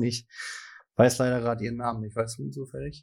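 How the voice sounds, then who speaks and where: Very fast and fairly even in intonation, a man's medium-pitched voice comes through a very clean recording with a silent background. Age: young. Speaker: podcast co-host, local politician. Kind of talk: casual chat.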